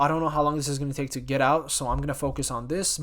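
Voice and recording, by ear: Using a put-on character voice, a man speaks very fast in a hoarse, fairly high-pitched tone with monotone, flat intonation.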